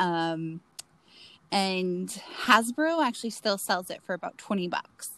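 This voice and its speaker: Speaking very slowly with long, frequent pauses, a woman with an American accent uses a medium-pitched voice with a bright, sharp tone. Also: lively intonation. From Florida, US. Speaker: podcast co-host. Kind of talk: casual chat. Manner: giggly.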